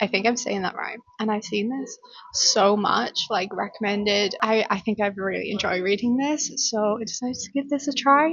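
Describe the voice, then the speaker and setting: A woman with a fairly high pitch and ordinary pitch variation talks with hardly any pauses over noticeable background noise. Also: moderate pace. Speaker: book vlogger. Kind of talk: casual vlog. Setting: cafe. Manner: animated.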